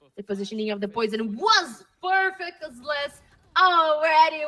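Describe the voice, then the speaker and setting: A woman's raised, projected voice, high in pitch, with very wide swings and a fairly slow pace. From Brazil. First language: Portuguese. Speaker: esports caster. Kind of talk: live commentary.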